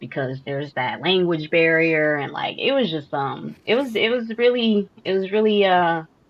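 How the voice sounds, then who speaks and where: A woman speaks at a fairly slow pace. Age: 30s. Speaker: podcast co-host. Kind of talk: casual chat. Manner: halting, many fillers.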